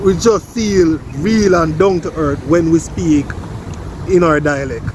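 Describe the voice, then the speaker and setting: Noticeable background noise sits behind a man with a Jamaican accent. He talks at a very slow pace, with a high pitch and ordinary pitch variation. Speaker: vlogger. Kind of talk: casual vlog chat.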